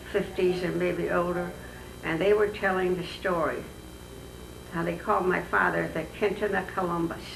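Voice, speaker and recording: Speaking at a moderate pace with long, frequent pauses, a woman is heard over noticeable background noise and audible room echo. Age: 80s+. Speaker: oral history interviewee. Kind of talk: oral history interview. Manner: halting.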